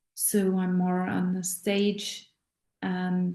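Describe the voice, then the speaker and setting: A woman speaks at medium pitch with a German accent. Her tone is dark and mellow. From Austria. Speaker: voice teacher and actress. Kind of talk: casual talk to camera. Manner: halting.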